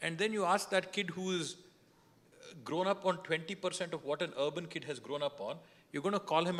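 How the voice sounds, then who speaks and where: The speech comes at a very fast pace in a Kannada accent. Pitch variation is ordinary. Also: man. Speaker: politician. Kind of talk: panel discussion.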